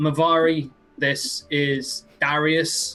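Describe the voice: Using a put-on character voice, a man talks at a very slow pace in a fairly high pitch, with a bright, sharp tone and little pitch movement.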